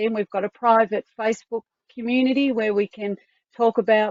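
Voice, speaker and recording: A woman with an Australian accent keeps to a moderate pace. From Tasmania, Australia. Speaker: online community coordinator. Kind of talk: online information session.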